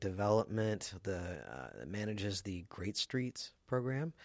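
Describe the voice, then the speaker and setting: In an American accent, a man speaks at a fairly slow pace with a fairly low pitch and an ordinary speaking voice. The recording is very clean, with a silent background. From US South. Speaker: radio host, business association staff. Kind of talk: interview; announcements. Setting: studio.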